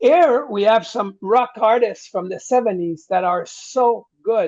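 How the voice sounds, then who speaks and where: Speaking at a fairly slow pace, a man with a strong French Canadian accent talks in a high pitch. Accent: thick French-Canadian. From Quebec. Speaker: rock singer. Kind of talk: interview. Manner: halting, repeats words while translating thoughts.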